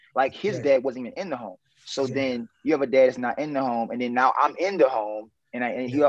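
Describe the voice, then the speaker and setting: Very fast and at medium pitch, a man with an American accent speaks in a dry, close sound with no echo. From New Orleans, US South. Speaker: consultant and business developer. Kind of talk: casual interview chat.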